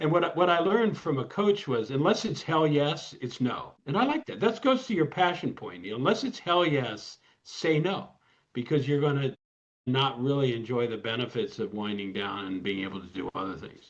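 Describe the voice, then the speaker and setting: In an American accent, a man talks at a moderate pace with vocal fry. His pitch swings very widely. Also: fairly high pitch for a man. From US Midwest, Ann Arbor, Michigan. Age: 60s. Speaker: lawyer. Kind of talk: interview. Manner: halting, frequent repetitions.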